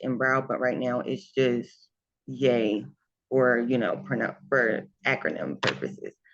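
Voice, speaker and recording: A woman speaks with a very deep, low pitch and vocal fry. Her pace is fairly slow, with ordinary pitch variation. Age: 20s. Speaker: lash business owner. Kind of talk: interview. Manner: hesitant, many fillers.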